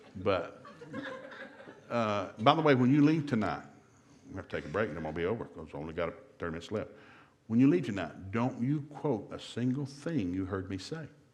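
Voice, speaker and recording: A man with an American accent speaks at a fairly quick pace in a fairly low voice, with very wide pitch swings, big swings in loudness, long and frequent pauses, and audible room echo. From US South. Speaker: marriage seminar speaker. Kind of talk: seminar talk. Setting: church seminar with live audience. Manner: fast; animated.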